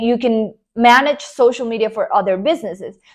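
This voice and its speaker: High, typically varying pitch from a woman. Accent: Spanish. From Colombia. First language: Spanish. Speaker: online business coach. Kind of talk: motivational talk to camera. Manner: animated.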